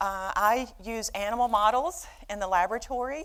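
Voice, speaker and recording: Here a woman talks with a Southern US accent at a fairly high pitch. Her intonation is lively. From US South, Birmingham, Alabama. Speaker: behavioral neuroscientist, professor. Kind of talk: lecture. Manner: halting, many fillers.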